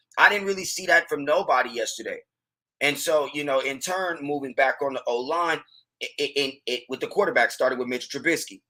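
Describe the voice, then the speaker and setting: A loud, animated man's voice, fairly high-pitched, bright and sharp, at a fairly quick pace with ordinary pitch variation. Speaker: sports podcast host. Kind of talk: casual sports commentary.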